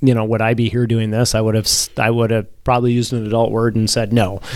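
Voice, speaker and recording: This man has a medium-pitched voice with an Upper Midwest accent. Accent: Upper Midwest (Minnesota). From Minnesota. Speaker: city mayor, navy reserve officer. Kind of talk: interview conversation.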